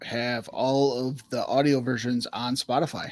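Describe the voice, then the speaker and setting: Quiet and fairly slow, a man speaks at a medium pitch. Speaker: podcast co-host. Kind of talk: casual chat. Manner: soft-spoken.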